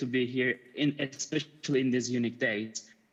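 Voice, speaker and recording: A man with a Turkish accent, talking at a fairly quick pace. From Turkey, Istanbul. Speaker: media artist. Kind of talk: conference talk. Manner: halting.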